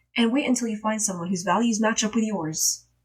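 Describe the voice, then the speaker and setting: A woman speaks at a fairly quick pace in a fairly high voice, animated in tone and somewhat breathy. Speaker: streamer. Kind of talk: casual chat.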